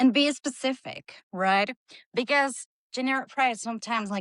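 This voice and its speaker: A woman with a Costa Rican accent and lively intonation, dry and close with no echo, against a quiet background. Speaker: UGC creator. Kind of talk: webinar presentation.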